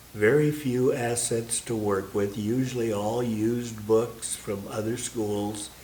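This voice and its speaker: With an American accent, the speaker talks at a fairly slow pace with fairly even intonation, amid noticeable background noise and audible room echo. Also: man. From Iowa, US Midwest. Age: 80s+. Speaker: longtime parishioner. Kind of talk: interview reminiscence. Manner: halting with many fillers.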